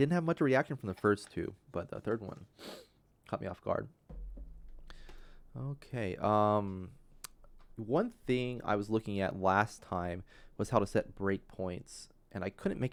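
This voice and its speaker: Quiet and fairly low-pitched, a man talks at a fairly slow pace with lively intonation and long, frequent pauses. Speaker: game developer livestreamer. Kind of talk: live coding tutorial stream. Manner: halting, many fillers.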